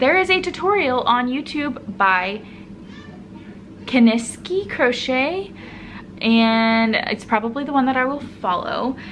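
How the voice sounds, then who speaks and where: Speaking very slowly with long, frequent pauses, a woman uses a high pitch and lively intonation over noticeable background noise. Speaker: knitting and crochet podcaster. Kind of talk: casual solo vlog talk.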